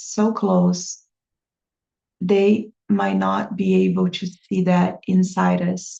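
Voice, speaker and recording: A woman speaks with a Brazilian accent. Her pace is very slow. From Brazil, small town. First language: Portuguese. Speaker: language teacher and vlogger. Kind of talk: personal vlog monologue. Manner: hesitant, many fillers.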